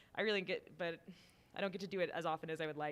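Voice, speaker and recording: A woman talks at a very fast pace with an American accent. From Washington DC area, Army brat. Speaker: brewer. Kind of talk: interview. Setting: live stream at beer festival.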